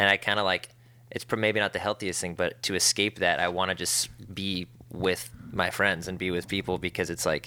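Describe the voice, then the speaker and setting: Very deep and low, this man's voice has vocal fry and a bright, sharp tone with ordinary pitch variation, captured on a very clean recording with a silent background. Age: 20s. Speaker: podcast host and touring musician. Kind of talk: casual chat; monologue intro. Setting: in person, at a festival; alone in his room.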